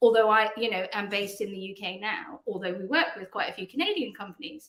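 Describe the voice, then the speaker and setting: A woman with a British accent talks at a very fast pace in a fairly high pitch. Her intonation is lively, and her loudness swings widely. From England. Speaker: PR agency founder. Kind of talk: podcast interview.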